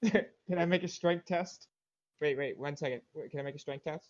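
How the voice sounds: A man with a fairly high pitch speaks at a moderate pace, his pitch varying in an ordinary way.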